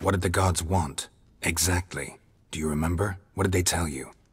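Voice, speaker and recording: A man speaks at a moderate pace in a put-on character voice. His pitch is very deep and low. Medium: video game. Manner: terse, flat, matter-of-fact.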